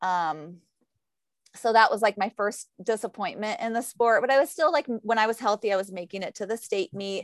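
An ordinary speaking voice from a woman with an American accent, fairly high in pitch, at a moderate pace with lively intonation, in a very clean recording with a silent background and a dry, close sound with no echo. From Ohio, rural. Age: 40s. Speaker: running coach and athlete. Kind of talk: casual interview.

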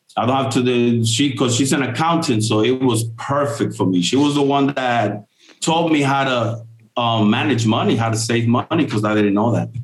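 Audible room echo surrounds a man with an American accent speaking at a moderate pace and very even loudness. His pitch is medium, with ordinary pitch variation. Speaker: print shop owner. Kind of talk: casual interview.

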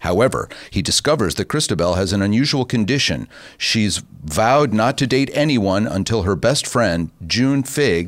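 A man with an ordinary speaking voice, fairly low pitch and lively intonation at a moderate pace, in a very clean recording with a silent background. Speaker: radio host. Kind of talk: casual radio chat show. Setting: studio.

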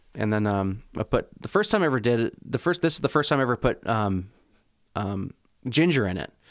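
On a very clean recording with a silent background, a man talks at a fairly quick pace. He has a normal speaking voice with lively intonation. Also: medium pitch for a man. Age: 30s. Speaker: chef. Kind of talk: casual chat.

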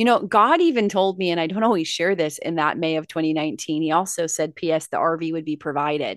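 A woman with a Californian accent talks at a very fast pace with hardly any pauses, her fairly low voice animated in tone with ordinary pitch variation, over a quiet background. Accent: General American (Californian). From Los Angeles, California. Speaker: motivational speaker and success coach. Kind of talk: casual interview chat. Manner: animated, laughs often.

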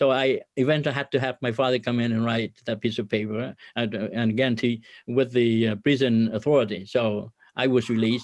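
A man's medium-pitched voice with a Vietnamese accent, fairly quick and flat in a monotone, over a quiet background. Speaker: business owner and ministry leader. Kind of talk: interview testimony.

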